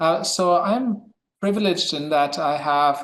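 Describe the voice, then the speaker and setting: With a German accent, a man speaks with ordinary pitch variation. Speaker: history professor. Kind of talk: academic discussion. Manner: halting, many fillers.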